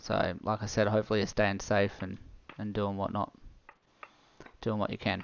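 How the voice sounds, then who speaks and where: Speaking in an Australian accent, a man with fairly low pitch uses a relaxed tone and flat, monotone intonation, with long, frequent pauses. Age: 30s. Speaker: gaming streamer. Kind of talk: live gameplay stream chat. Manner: fast; casual, relaxed.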